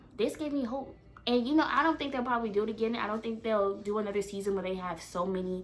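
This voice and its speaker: A woman talks very fast in an animated tone at a fairly high pitch, with audible room echo. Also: ordinary pitch variation. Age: 20s. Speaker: reality TV commentator. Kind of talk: casual vlog commentary.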